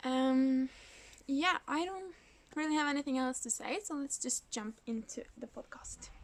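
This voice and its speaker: At a fairly slow pace, a woman talks in a high pitch. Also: ordinary pitch variation. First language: Norwegian. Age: 20s. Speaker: knitting podcaster. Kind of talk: casual vlog talk. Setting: indoors in a kindergarten.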